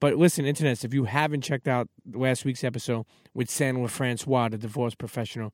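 A man in a New York accent talks at a very fast pace with ordinary pitch variation. His medium-pitched voice has a dry, close sound with no echo. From Brooklyn, New York (Coney Island). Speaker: podcast host. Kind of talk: casual interview chat. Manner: repetitive, stammering starts.

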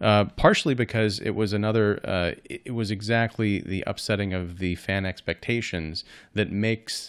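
In a very clean recording with a silent background, a man speaks in a normal speaking voice, fairly low in pitch with ordinary pitch variation. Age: 40s. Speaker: film critic. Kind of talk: casual chat.

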